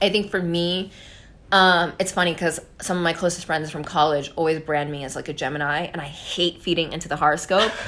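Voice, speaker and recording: The voice is loud, with a bright, sharp tone. Intonation stays fairly even at a fairly quick pace. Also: woman, fairly low pitch for a woman. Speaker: podcast guest. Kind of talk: casual chat. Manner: loud and clear; confident, direct.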